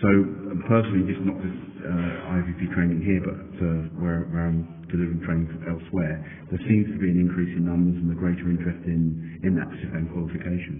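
A man with a very deep, low pitch talks at a fairly quick pace in a monotone, flat delivery. The recording has audible room echo and noticeable background noise. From Denmark. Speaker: privacy trainer and consultant. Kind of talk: interview. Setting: conference venue.

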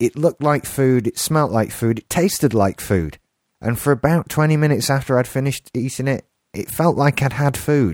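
A man with a fairly high pitch speaks at a moderate pace with ordinary pitch variation, in a very clean, dry, close recording with no echo and a silent background. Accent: English. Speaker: podcast co-host. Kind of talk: casual chat.

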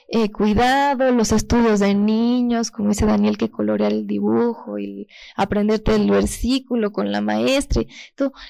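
This woman's voice has a dark, mellow tone, moving at a moderate pace with ordinary pitch variation. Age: 20s. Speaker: pastor's daughter giving testimony. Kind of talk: testimony.

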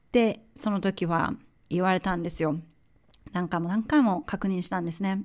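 Speaking at a moderate pace, a woman has a medium pitch with ordinary pitch variation. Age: 40s. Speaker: podcast host. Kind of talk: personal monologue. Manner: halting.

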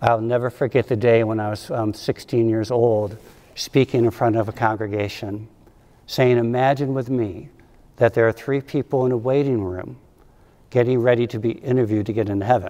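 Fairly even intonation from a man with a medium pitch and a dark, mellow tone. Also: moderate pace. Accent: American. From upstate New York. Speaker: ordained minister. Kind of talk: sermon.

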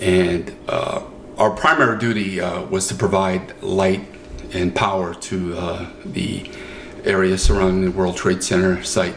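Over noticeable background noise and audible room echo, a man with a very deep, low pitch speaks slowly, at a fairly slow pace, with an American accent. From Brooklyn, New York. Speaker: retired military veteran and videographer. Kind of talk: interview. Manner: halting.

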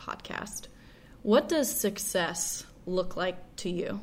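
A woman talks with lively intonation at medium pitch. Hers is an unremarkable speaking voice. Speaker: podcast host. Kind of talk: interview.

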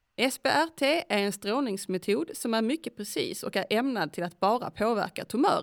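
A woman speaks at a moderate pace with lively intonation and a fairly high pitch, hardly pausing at all. The recording is very clean and dry, close with no echo, over a silent background. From Skåne, Sweden. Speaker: podcast host. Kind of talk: interview.

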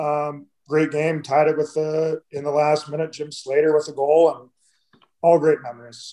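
Speaking at a moderate pace with an American accent, a man with a fairly high voice and a dark, mellow tone keeps a monotone, flat intonation while his loudness swings widely. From Michigan (Detroit area). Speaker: retired hockey player. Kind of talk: casual interview. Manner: dry, understated.

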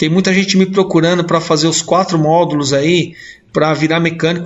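This man has an unremarkable speaking voice with a fairly high pitch. He keeps fairly even intonation at a moderate pace. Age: 40s. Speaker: mechanics instructor. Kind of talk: casual chat.

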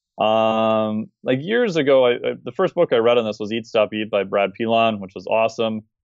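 This man, using a normal speaking voice, has a medium pitch and ordinary pitch variation. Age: 40s. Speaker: fitness and metabolism expert. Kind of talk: podcast interview.

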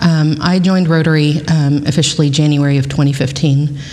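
In an American accent, the speaker uses monotone, flat intonation, with noticeable background noise. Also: woman. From South Texas (Kingsville). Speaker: volunteer youth mentor. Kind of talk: casual interview chat. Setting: on location at a venue.

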